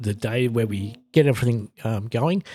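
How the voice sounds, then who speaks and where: Dark and mellow in tone and somewhat breathy, the voice moves at a moderate pace in a very clean recording with a silent background and a dry, close sound with no echo. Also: man. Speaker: health podcast host. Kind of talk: casual solo podcast monologue. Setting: home studio. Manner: halting with frequent fillers.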